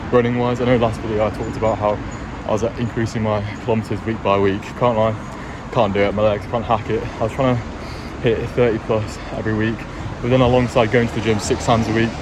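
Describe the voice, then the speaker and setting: A man talks very fast in a monotone, flat delivery. Noticeable background noise and audible room echo fill the recording. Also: medium pitch for a man. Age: 20s. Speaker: vlogger, university student. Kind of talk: casual vlog talk.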